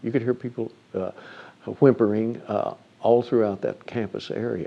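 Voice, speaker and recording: A man with an ordinary speaking voice, pitched in the middle range and going at a moderate speed. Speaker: newsman / radio and TV news reporter recalling the 1966 campus shooting. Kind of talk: interview answer, recounting a historical event. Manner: reflective, measured, narrative.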